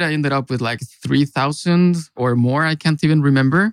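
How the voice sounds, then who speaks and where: With a Mexican accent and a fairly high pitch, a man speaks at a moderate pace with ordinary pitch variation in a dry, close sound with no echo. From Mexico. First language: Spanish. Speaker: consultant. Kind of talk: casual chat.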